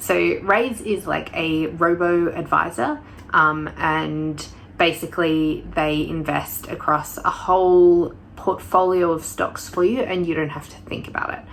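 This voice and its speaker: A woman speaks at a fairly slow pace and a fairly low pitch, with ordinary pitch variation. Her loudness swings widely, and noticeable background noise runs underneath. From Australia. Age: 20s. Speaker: university student. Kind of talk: casual talk to camera. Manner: casual, hesitant with fillers.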